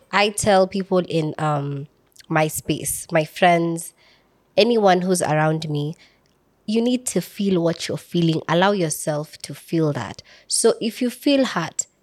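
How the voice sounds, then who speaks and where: A woman's fairly low voice, very slow in pace, with lively intonation. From Kenya, Samburu County. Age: 20s. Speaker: content creator. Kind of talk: casual chat.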